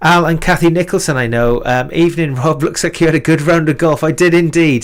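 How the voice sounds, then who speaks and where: The speaker has a Welsh Valleys accent. Pitch varies in an ordinary way. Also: man. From Wales. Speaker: live stream music show host. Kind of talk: casual live stream chat. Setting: live stream.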